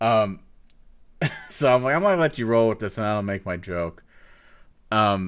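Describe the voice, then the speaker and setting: A man's fairly low voice moves at a fairly slow pace and shows ordinary pitch variation. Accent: Northeast Ohio. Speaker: streamer and podcast host. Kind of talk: casual chat.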